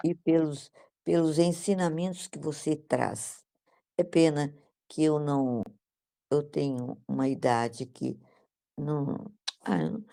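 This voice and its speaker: A woman's very deep, low voice with a dark, mellow tone, at a very slow pace with long, frequent pauses, on a very clean recording with a silent background. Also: ordinary pitch variation. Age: 80s+. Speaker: study group participant. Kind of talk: casual chat. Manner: halting.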